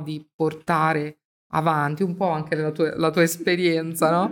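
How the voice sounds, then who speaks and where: On a very clean recording with a silent background, a woman speaks at a fairly slow pace in a fairly low, monotone, flat voice. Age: 50s. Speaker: Bible study host. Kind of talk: religious discussion.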